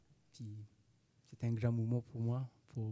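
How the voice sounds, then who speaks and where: A man's medium-pitched voice, dark and mellow in tone, monotone and flat, with a dry, close sound and no echo. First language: not French (speaking French). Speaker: amateur actor, migrant. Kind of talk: interview. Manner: halting, broken French.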